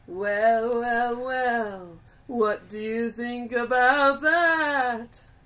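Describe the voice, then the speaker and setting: This is a put-on character voice at a fairly high pitch. It moves at a very slow pace. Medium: audio drama. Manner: menacing, mischievous.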